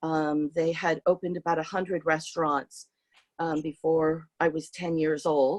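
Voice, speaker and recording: At a moderate pace, a woman with fairly low pitch speaks in a monotone, flat intonation, with a dry, close sound and no echo. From San Francisco, US. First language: Hungarian. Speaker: artist. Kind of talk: interview talk with slides. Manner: hesitant, many fillers.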